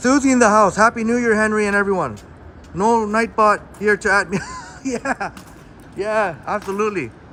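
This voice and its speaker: A man's raised, projected voice, high in pitch, with ordinary pitch variation and long, frequent pauses, amid noticeable background noise. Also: moderate pace. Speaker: live streamer. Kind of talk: casual live stream chat. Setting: outdoors. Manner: loud.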